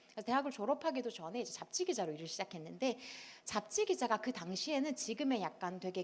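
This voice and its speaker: The voice races at a very fast pace, making very wide pitch swings. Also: woman. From South Korea, Daegu (Gyeongsang). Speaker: author. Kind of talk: talk show lecture. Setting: stage with audience.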